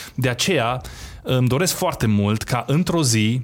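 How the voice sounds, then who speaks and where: Ordinary pitch variation and a moderate pace from an ordinary speaking voice. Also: man. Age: 30s. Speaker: entrepreneur. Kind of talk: interview.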